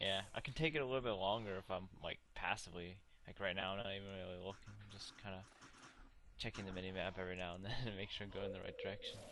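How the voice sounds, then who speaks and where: Mumbling at a very fast pace, a man with a fairly low pitch has a bright, sharp tone and fairly even intonation. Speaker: gamer livestreaming. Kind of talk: casual chat. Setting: voice chat while gaming.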